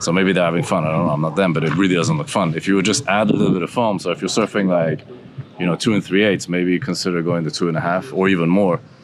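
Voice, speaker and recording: Noticeable background noise sits behind a man talking at a very fast pace in a very deep, low voice with ordinary pitch variation. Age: 60s. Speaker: surfer and surfboard shaper. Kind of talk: interview answer. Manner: casual, conversational.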